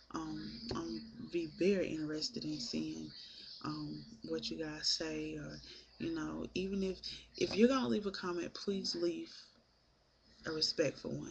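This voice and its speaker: Soft-spoken, a woman talks at a fairly slow pace. She leaves long, frequent pauses. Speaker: vlogger. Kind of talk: casual vlog monologue. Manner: hesitant, many filler ums.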